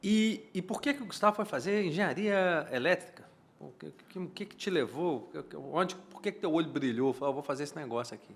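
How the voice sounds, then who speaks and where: In a high pitch, a man's voice moves through very wide pitch swings and big swings in loudness. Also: fairly quick pace. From Minas Gerais, Brazil. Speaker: podcast host. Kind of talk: casual interview. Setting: studio.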